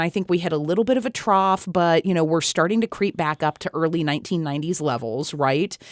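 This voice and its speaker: On a very clean recording with a silent background and a dry, close sound with no echo, a woman with an American accent has an unremarkable speaking voice, fairly low in pitch, with lively intonation. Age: 40s. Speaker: politician. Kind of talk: interview.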